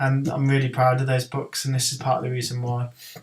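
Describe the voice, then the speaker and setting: With a Birmingham accent, a man speaks at medium pitch in a flat, monotone way. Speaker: horror author. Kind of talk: software tutorial. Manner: droning; hesitant, many ums.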